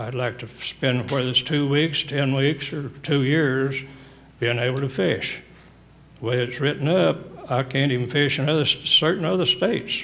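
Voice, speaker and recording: Noticeable background noise sits behind a man's fairly high voice. He speaks at a moderate pace with ordinary pitch variation. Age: 80s+. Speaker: angler appealing license revocation. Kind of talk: testimony.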